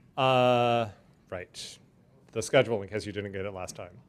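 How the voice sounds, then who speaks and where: At a moderate pace, a man with a Californian accent speaks at a medium pitch. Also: long, frequent pauses, big swings in loudness. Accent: General American, Californian. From US West Coast, Los Angeles. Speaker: urban transportation planner. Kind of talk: lecture. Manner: loud.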